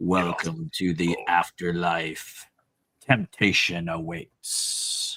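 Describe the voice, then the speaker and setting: Using a raspy, put-on character voice, a man speaks at a very slow pace with a very deep, low pitch. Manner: solemn, intoning.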